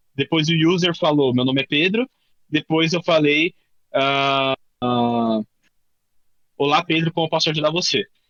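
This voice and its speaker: A man with a fairly high pitch talks at very even loudness with ordinary pitch variation, leaving long, frequent pauses. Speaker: workshop instructor, tech professional. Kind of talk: workshop tutorial. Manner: fast; casual, filler-heavy.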